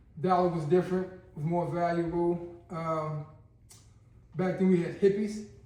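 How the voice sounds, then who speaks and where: With audible room echo, a man speaks in a high, dark, mellow voice at a fairly slow pace, with monotone, flat intonation and long, frequent pauses. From Baltimore, Maryland (Park Heights). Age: 60s. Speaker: former long-term prisoner. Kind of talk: interview storytelling.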